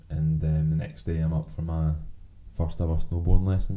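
A man talks in a strong Glasgow accent at a moderate pace. His tone is dark and mellow. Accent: strong Glaswegian Scottish. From Glasgow, Scotland. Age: 20s. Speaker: podcast co-host. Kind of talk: casual chat, swearing, banter. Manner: relaxed, joking.

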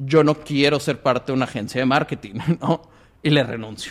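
This is a man talking. His pace is very fast. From Monterrey, Mexico. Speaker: entrepreneur. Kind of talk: interview. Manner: filler-heavy casual speech.

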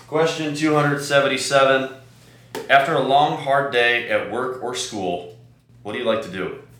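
The pitch variation is ordinary. Audible room echo fills the recording. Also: man, fairly high pitch for a man, moderate pace. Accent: American. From US Midwest, Chicago. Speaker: podcast host. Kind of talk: casual interview conversation.

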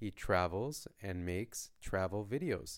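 A plain, everyday voice from a man with a Canadian accent, fairly low in pitch and fairly slow in pace, on a very clean recording with a silent background. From Canada. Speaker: language teacher podcaster. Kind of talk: story reading for learners; question and answer teaching. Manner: slow, clear.

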